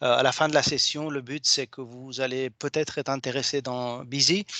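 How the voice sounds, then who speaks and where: A man's bright, sharp voice at a fairly slow pace, dry and close with no echo. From Argentina. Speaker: software company co-founder. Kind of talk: webinar presentation. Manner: halting.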